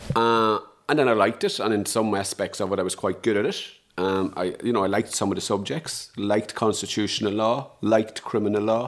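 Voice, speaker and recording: A man with an Irish accent, fairly low in pitch, at a fairly quick pace with fairly even intonation, on a very clean recording with a silent background. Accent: Irish (Louth). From Ireland, Dundalk, County Louth. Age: 50s. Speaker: trade unionist and social justice campaigner. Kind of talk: interview conversation. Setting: at host's kitchen table.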